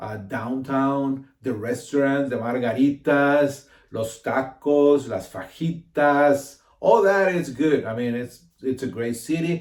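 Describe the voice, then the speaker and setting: A man at a fairly high pitch, with ordinary pitch variation and a very slow pace. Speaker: realtor. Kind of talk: casual informational talk to camera. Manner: halting, many fillers and repeats.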